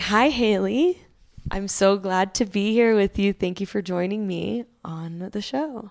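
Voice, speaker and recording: At a fairly slow pace, a woman speaks in an ordinary speaking voice at a medium pitch with ordinary pitch variation. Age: 30s. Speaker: podcast host. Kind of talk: casual interview chat. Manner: warm, upbeat.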